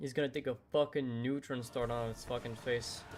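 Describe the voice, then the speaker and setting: A man's medium-pitched, monotone, flat delivery with a non-native accent. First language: not English. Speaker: gaming streamer. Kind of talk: live gameplay commentary.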